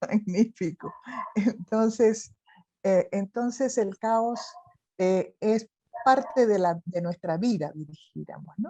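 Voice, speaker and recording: A woman speaks very slowly in a dark, mellow tone, with long, frequent pauses. The sound is dry and close with no echo. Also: ordinary pitch variation. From Chile. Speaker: interviewer. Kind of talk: interview conversation.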